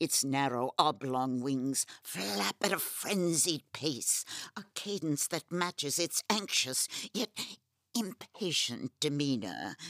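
The pitch is low-to-middle. The pace is fairly slow. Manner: ornate, haughty.

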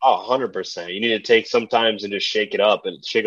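Speaking at a fairly quick pace in a plain, everyday voice, a man with a fairly low pitch keeps his intonation fairly even. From US, Puerto Rican family. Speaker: writer and nutritionist. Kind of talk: casual chat.

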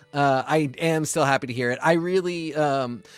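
A man's normal speaking voice, fairly high-pitched, at a moderate pace with fairly even intonation, over a very clean recording with a silent background. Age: 30s. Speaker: podcast co-host. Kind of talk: casual chat.

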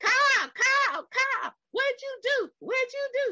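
Squeaky and extremely high-pitched, this put-on character voice comes in a Texan accent. The pace is very slow. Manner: panicked, scolding.

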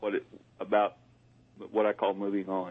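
His voice sits at a fairly low pitch. The man keeps a moderate pace. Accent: Southern US. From US South. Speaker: paranormal communications consultant. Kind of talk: call-in readings.

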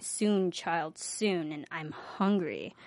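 Putting on a character voice, a woman speaks at a fairly low pitch. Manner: creepy.

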